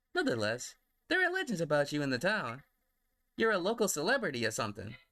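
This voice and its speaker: In a put-on character voice, a man rattles along at a very fast pace in a fairly high pitch, recorded very cleanly against a silent background. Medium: read story.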